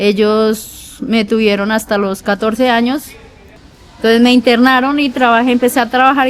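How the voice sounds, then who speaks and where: Over noticeable background noise, a woman talks at a moderate pace in a fairly high pitch with fairly even intonation. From Colombia, rural Meta (Llanos). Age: 40s. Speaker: prison inmate interviewee. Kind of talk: interview testimony.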